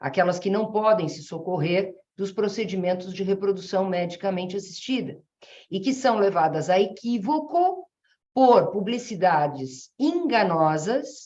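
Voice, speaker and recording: At a fairly slow pace, a woman speaks in a dark, mellow tone at medium pitch with lively intonation. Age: 60s. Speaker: family law jurist, association president. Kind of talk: webinar talk. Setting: online webinar. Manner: halting, with many fillers.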